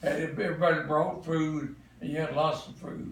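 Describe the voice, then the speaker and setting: A man's fairly high voice in a Southern US accent at a moderate pace, with noticeable background noise and audible room echo. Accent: Southern US (Georgia). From Atlanta, Georgia, US South. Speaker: grandparent interviewed about family history. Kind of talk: family oral history interview.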